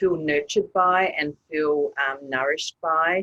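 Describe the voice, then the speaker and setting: This woman speaks with an Australian accent at a fairly low pitch. The sound is dry and close with no echo, and her intonation stays fairly even. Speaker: author and women's group facilitator. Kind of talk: interview.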